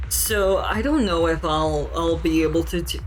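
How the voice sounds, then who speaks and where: A woman speaking at a very slow pace, with music in the background and audible room echo. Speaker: video game streamer. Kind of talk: casual chat. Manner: hesitant with filler words and repetitions.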